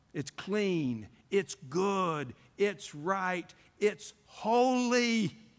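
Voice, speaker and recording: High-pitched and warm in tone, a man speaks at a very slow pace with lively intonation. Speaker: preacher. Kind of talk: sermon. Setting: church revival service. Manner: warm, folksy storyteller opening with jokes; earnest, didactic and pleading, building to prayer.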